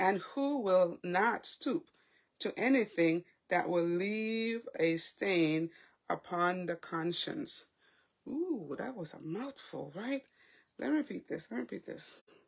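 Against a quiet background, a woman speaks at a very slow pace with very wide pitch swings. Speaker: faith vlogger. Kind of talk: casual devotional talk. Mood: warm, animated. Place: home room. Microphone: phone near.

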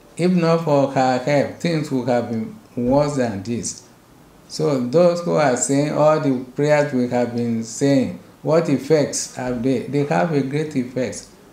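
A man's voice at a very slow pace with audible room echo. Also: ordinary pitch variation. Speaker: bishop. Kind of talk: sermon. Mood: earnest, exhorting. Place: office.

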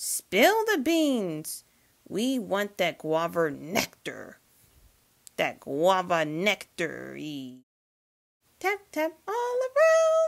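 This is a put-on character voice at a very slow pace. Long pauses come frequently. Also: female-sounding voice.

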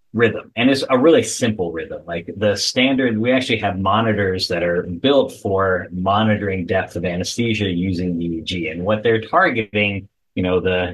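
A man speaks in a plain, everyday voice at a fairly low pitch and a moderate pace, with ordinary pitch variation. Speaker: guest. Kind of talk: interview answer. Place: home room. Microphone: video call.

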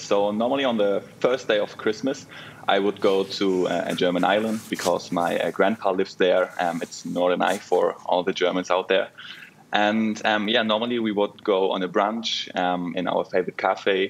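Noticeable background noise sits behind this recording. A man with a fairly low pitch talks at a moderate pace with fairly even intonation. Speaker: international student. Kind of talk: casual interview. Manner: halting, many fillers.

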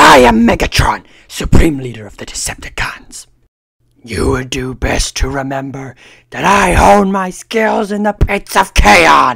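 A raspy put-on character voice at a low-to-middle pitch. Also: moderate pace. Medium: voice reel. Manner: menacing, commanding.

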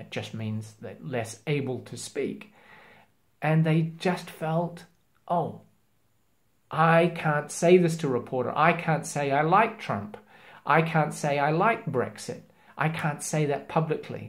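Speaking slowly, a man uses a fairly high pitch and lively intonation.

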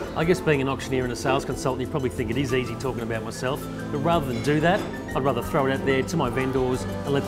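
Loud music plays behind a man who speaks very fast. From Australia. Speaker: real estate agent and auctioneer. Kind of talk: corporate agent profile talk to camera. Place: office.

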